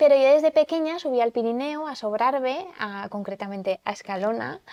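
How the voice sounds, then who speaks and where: A woman speaks at a high pitch with a dark, mellow tone and lively intonation. Her pace is moderate, her loudness swings widely, and the sound is dry and close with no echo. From Aragon, Zaragoza. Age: 30s. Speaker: TV presenter and language promoter. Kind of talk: podcast interview.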